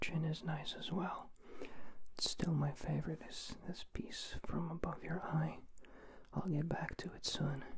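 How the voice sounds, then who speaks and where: A man whispers at a fairly slow pace. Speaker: ASMR creator. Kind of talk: soft ASMR roleplay talk to the viewer. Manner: close-mic ASMR whisper. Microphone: handheld.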